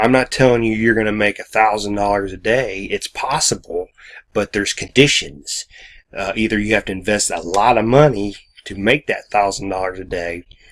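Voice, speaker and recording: A mumbling man at a fairly low pitch, with ordinary pitch variation and a moderate pace, on a very clean, silent-background recording with a dry, close sound and no echo. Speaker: online business vlogger. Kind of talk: casual video monologue. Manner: halting.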